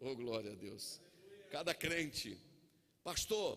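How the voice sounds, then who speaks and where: The man's voice is fairly high-pitched, with a bright, sharp tone. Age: 50s. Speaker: pastor. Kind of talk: sermon. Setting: church. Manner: animated.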